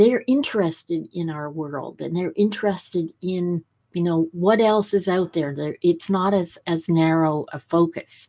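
In an ordinary speaking voice, a woman speaks at a fairly slow pace with hardly any pauses. Her pitch is fairly low with ordinary pitch variation, on a very clean recording with a silent background. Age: 60s. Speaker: podcast host. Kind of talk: interview conversation.

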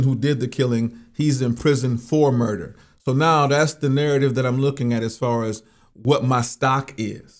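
A man with a plain, everyday voice speaks at a moderate pace and medium pitch, with fairly even intonation, on a very clean recording with a silent background. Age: 50s. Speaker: religious minister. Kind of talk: interview conversation.

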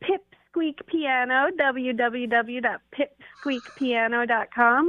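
An unremarkable speaking voice from a woman, fairly high in pitch with ordinary pitch variation. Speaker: piano teacher. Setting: phone call.

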